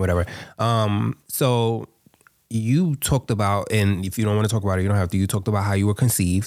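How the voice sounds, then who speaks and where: A man's fairly low voice at a very fast pace, with fairly even intonation. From Harlem, New York. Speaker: podcast host. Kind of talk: casual chat.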